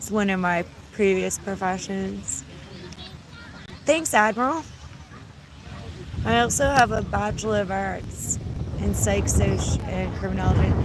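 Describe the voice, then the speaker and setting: Over noticeable background noise and audible room echo, a woman speaks at a fairly slow pace with long, frequent pauses. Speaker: YouTuber. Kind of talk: casual livestream chat.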